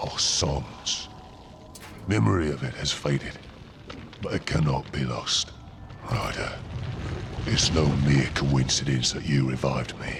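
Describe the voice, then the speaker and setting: Doing a put-on character voice, a man speaks at a fairly slow pace with a very deep, low pitch over clear background noise. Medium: machinima. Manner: slow, solemn.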